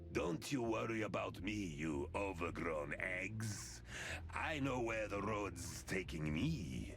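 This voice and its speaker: A man uses a put-on character voice with a very deep, low pitch at a fairly slow pace. Loud background noise sits behind him. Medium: video game. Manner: gruff, chuckling.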